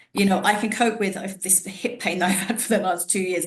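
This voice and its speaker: With audible room echo, a woman speaks at medium pitch with ordinary pitch variation. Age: 40s. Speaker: podcast host, wellness professional. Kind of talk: casual interview chat. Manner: conversational, with false starts.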